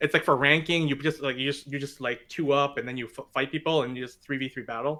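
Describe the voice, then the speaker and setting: A man with a fairly high pitch talks at a very fast pace, with hardly any pauses. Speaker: podcast guest, gamer. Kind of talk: casual chat. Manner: loud when excited; loud in general.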